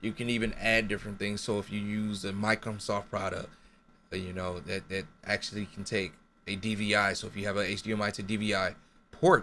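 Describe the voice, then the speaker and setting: Amid light background noise, a man speaks fairly quickly in a flat monotone, his tone bright and sharp and his pitch fairly low. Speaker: gaming streamer; gamer explaining capture setup. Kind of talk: tutorial. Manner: stutters, self-correcting.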